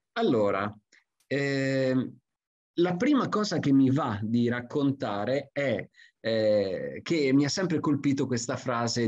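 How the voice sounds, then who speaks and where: A man at a very slow pace. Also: quiet background. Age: 50s. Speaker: forester; presenter. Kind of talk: lecture. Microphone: video call.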